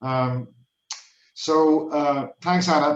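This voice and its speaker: With an Irish accent, a man speaks using fairly even intonation. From Ireland. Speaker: research project coordinator. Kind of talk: casual chat.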